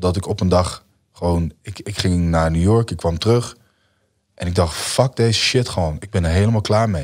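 A man with a very deep, low pitch speaks over a quiet background. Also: ordinary pitch variation, moderate pace. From Netherlands. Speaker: musician; podcast guest. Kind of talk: casual interview. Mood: relaxed, reflective storytelling. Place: studio. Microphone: studio mic.

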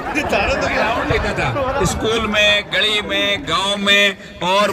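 Over noticeable background noise, a man talks in a raised, projected voice at a high pitch. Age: 80s+. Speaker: retired teacher. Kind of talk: interview answer. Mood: fond recollection of teaching days. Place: open country.

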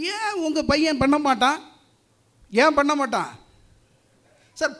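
A man talks in an animated tone. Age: 50s. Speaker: distribution business owner, debate speaker. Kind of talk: debate speech.

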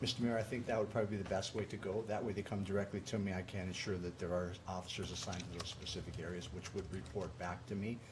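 A man talks fast with few pauses. His voice is low, and his pitch moves very little.

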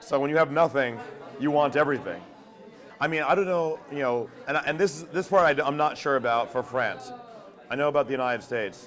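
A man at a fairly quick pace with ordinary pitch variation, music in the background. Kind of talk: interview answer.

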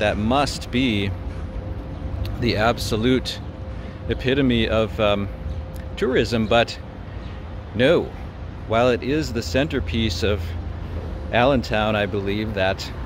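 Music plays in the background as a man speaks at a fairly slow pace with long, frequent pauses. His pitch varies in an ordinary way, and the sound is dry with no echo. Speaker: walking tour vlogger. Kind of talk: casual vlog chat. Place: street. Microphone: phone near.

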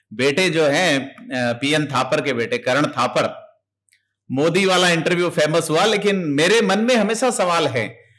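A man with a high-pitched voice speaking very slowly, his pitch swinging very widely while his loudness stays very even, over a quiet background. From India. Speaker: interviewer. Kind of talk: interview discussion. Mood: animated, smiling. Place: home room. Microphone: studio mic.

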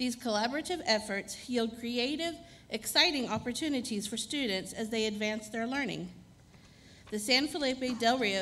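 The woman's pitch varies in an ordinary way. She keeps a moderate pace. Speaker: presenter. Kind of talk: formal announcement. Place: hall. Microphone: podium.

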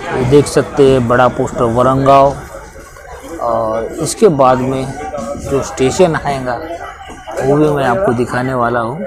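A man speaking at a very slow pace with long, frequent pauses, dry sound with no echo, music in the background. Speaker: travel vlogger. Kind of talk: casual vlog commentary. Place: train. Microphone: phone near.

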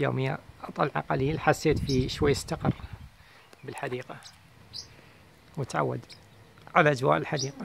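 A man's medium-pitched voice with vocal fry at a moderate pace, long and frequent pauses, light background noise, and a dry sound with no echo. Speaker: bird keeper. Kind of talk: tutorial. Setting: outdoors in garden. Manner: soft-spoken, calm. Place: garden. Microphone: phone near.

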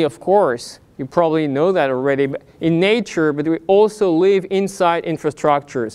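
Ordinary pitch movement in a man's speech. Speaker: invited lecturer. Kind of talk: lecture. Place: hall. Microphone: lapel.

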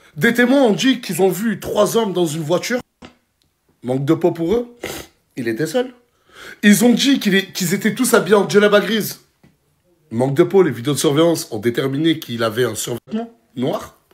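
A man speaks at a moderate pace with very wide pitch swings and long, frequent pauses. The background is quiet. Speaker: social media influencer. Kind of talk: casual vlog rant commentary. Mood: indignant, incredulous. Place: home room. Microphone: phone near.

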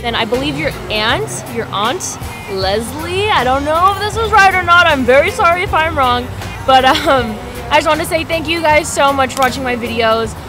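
A woman's raised, projected voice at a moderate pace, dry with no echo, over clear music in the background. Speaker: vlogger. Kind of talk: casual vlog chat. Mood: grateful, bubbly. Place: home room. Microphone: webcam.

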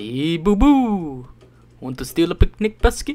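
The voice is a put-on character, pitched in the middle range. It moves at a fairly slow pace with very wide pitch swings. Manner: cartoonish, playful.

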